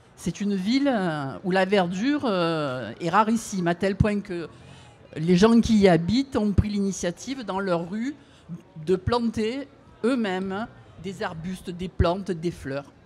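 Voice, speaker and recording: Very slow pace with lively intonation and long, frequent pauses. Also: woman, medium pitch for a woman. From Marseille, southern France. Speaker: audience member. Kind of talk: audience question. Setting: outdoor event with audience. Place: street.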